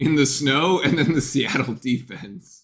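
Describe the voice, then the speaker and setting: A man's speech moves at a moderate pace, its pitch varying in an ordinary way. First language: Spanish. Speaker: sports fan streamer doing live game commentary. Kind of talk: casual chat. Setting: live stream, off camera. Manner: halting, lots of fillers like uh and like.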